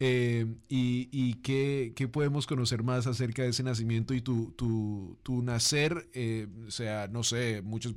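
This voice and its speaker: With a normal speaking voice, this man talks at medium pitch with fairly even intonation. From Colombia. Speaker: interview host. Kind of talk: interview. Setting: studio.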